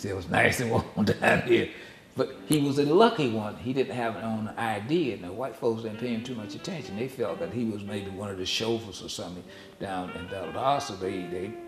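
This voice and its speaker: Over music in the background, a man with a Southern US accent talks at medium pitch and a fairly quick pace, with ordinary pitch variation. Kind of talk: family oral history recollection. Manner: conversational, hesitant.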